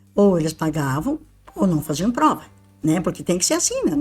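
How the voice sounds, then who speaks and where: A woman talks at a fairly quick pace in a fairly low pitch, with noticeable background noise behind her. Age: 80s+. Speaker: retired university maintenance worker. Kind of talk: interview, personal recollection. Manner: informal, chatty.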